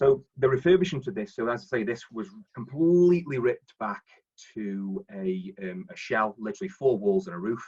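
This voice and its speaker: A man with a Staffordshire accent talks at a moderate pace and a medium pitch. His pitch swings very widely, and his loudness rises and falls a lot. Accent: Stoke-on-Trent (Potteries). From Stoke-on-Trent, English Midlands. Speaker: property investor and finance broker. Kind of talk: presentation on live webinar. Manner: halting, many fillers and repetitions.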